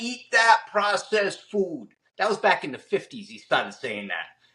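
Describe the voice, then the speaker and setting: A man with a Boston accent, a high pitch and a bright, sharp tone. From Massachusetts, Fall River. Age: 60s. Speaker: chef and fitness trainer. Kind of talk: casual interview. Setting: home kitchen.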